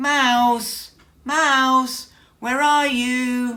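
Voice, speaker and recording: Putting on a character voice, a woman speaks in a high pitch with monotone, flat intonation and audible echo. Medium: read story. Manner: booming, pompous.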